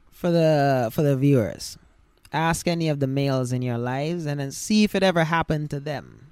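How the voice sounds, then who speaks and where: With ordinary pitch variation, a man talks fairly quickly in a fairly high voice. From Saint Kitts and Nevis. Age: 30s. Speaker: podcast guest. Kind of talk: casual chat.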